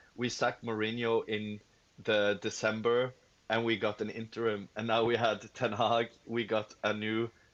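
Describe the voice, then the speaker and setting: Monotone, flat intonation runs through this man's speech. He talks fairly slowly at a medium pitch. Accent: Norwegian. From Norway. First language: Norwegian. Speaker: football fan caller. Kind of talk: live stream discussion. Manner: halting, many fillers.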